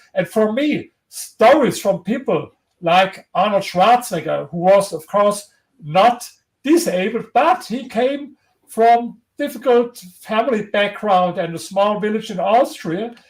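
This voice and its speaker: With a strong German accent, a man speaks at a fairly slow pace in a high pitch with lively intonation. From Germany. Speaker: historian and author. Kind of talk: interview. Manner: halting.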